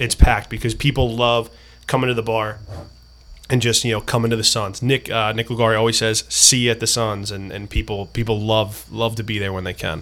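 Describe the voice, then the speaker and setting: At a fairly quick clip, a man talks in a medium pitch. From US Northeast, New Jersey. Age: 30s. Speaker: town council candidate. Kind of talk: casual chat. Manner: animated.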